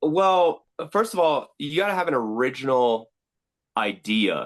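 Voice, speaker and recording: A man speaks loudly in an energetic tone with an American accent. His pitch swings very widely, and the sound is dry and close with no echo. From Sacramento, California. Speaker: professional heckler and content creator. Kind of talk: podcast interview.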